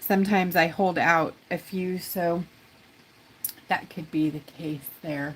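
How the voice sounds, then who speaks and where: Speaking at a very slow pace with long, frequent pauses, a woman keeps a fairly low pitch and fairly even intonation. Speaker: rock art tutor and craft shop owner. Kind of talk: live-stream craft tutorial chat. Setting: live stream. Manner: casual, rambling.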